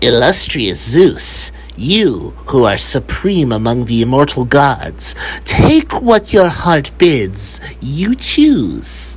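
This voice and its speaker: A man speaks at a very slow pace in a put-on character voice. Background noise is clearly audible. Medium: read story. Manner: smooth, flattering.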